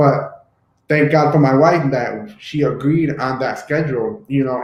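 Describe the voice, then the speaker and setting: A normal speaking voice, this man talks at a fairly high pitch and moderate pace with ordinary pitch variation. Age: 30s. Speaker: YouTube host. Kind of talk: casual discussion.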